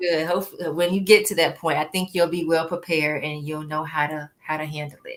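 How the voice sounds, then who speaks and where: At a moderate pace, a woman speaks in a normal speaking voice with a fairly low pitch and fairly even intonation. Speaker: live interview host. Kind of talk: live stream host talk.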